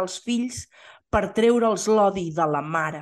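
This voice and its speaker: A woman talks at a fairly slow pace with lively intonation and medium pitch. She has a normal speaking voice, and the background is quiet. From Catalonia, Osona (Torelló). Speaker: podcast co-host. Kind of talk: casual chat.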